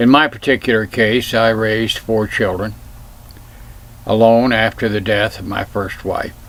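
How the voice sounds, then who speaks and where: A man at a medium pitch and a fairly slow pace, with noticeable background noise. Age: 70s. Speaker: self-filmed commentator. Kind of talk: personal reflection monologue.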